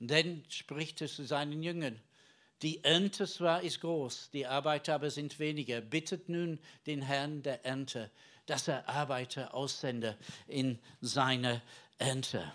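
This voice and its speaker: This man has a fairly high voice with ordinary pitch variation. He speaks at a very slow pace. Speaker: preacher. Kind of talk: sermon. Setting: church. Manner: conversational and earnest, halting with filler words; teaching tone, explaining the Bible and addressing the congregation.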